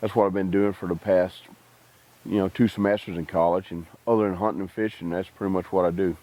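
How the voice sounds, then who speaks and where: Racing at a very fast pace, a man with a Texas accent speaks in a dark, mellow tone at a fairly low pitch, flat and monotone. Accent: rural Texas. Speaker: army veteran. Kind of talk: interview testimony. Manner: halting.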